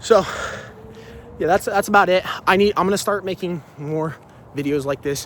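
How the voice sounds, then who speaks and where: Background noise is noticeable as a man talks at a high pitch. He leaves long, frequent pauses. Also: ordinary pitch variation, moderate pace. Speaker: fitness vlogger. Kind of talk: motivational talk. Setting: outdoors. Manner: halting.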